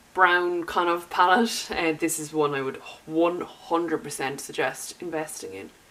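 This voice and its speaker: Against noticeable background noise, a woman with an Irish accent speaks at a moderate pace with a fairly low pitch and ordinary pitch variation. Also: big swings in loudness. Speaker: beauty YouTuber. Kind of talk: makeup tutorial talk to camera.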